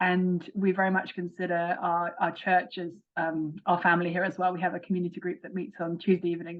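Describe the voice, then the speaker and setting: In an English accent, a woman with a fairly low pitch talks at a fairly quick pace in a monotone, flat way, with hardly any pauses. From England. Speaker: author. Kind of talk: interview.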